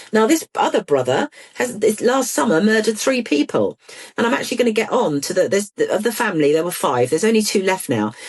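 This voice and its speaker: A woman with a British accent speaks very fast at a fairly high pitch, her pitch swinging very widely. Vocal fry runs through her voice. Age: 60s. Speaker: ADHD campaigner and author. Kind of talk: interview. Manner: animated.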